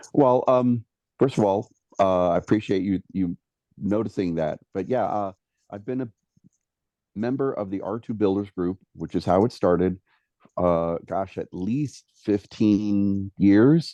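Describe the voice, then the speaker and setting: A man with a dark, mellow tone and a fairly low pitch speaks at a fairly slow pace with long, frequent pauses and ordinary pitch variation, in a dry, close sound with no echo and a quiet background. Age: 60s. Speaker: prop and model builder, actor. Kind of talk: interview. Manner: halting, many fillers and repeats.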